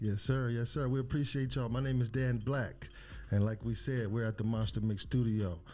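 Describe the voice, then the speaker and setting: A man's dark, mellow tone at medium pitch, with very even loudness and audible room echo. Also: fairly even intonation, fairly quick pace. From Compton, California. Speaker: podcast host, father. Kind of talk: casual podcast conversation. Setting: studio.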